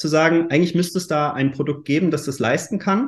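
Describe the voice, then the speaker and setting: A man talks at a fairly quick pace in a somewhat breathy, fairly high voice with ordinary pitch variation. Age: 30s. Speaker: startup founder. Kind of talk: interview. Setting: virtual recording studio. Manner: hesitant, with fillers.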